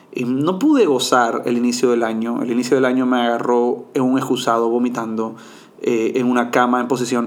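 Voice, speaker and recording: A man's monotone, flat delivery at medium pitch and moderate pace, with audible room echo and noticeable background noise. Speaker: podcast host and mindfulness coach. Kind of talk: solo podcast monologue.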